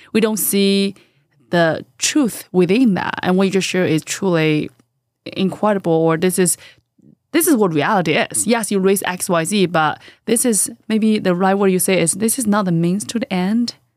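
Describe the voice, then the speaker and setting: A woman's medium-pitched voice at a moderate pace, with ordinary pitch variation, in a very clean recording against a silent background. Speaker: podcast host. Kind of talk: interview. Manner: enthusiastic.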